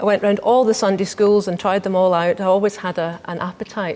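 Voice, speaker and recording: With a Scottish accent, a woman speaks at a fairly quick pace against noticeable background noise. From Scotland. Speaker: inner wisdom coach and meditation teacher. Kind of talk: TV interview.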